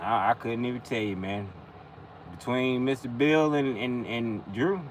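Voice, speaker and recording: Speaking fairly slowly with a Carolinas accent, a man holds a medium pitch with ordinary variation in it. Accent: US Southern (Carolinas). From the Carolinas (Whiteville, NC / Conway, SC area). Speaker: mechanic and livestreamer. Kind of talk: casual chat.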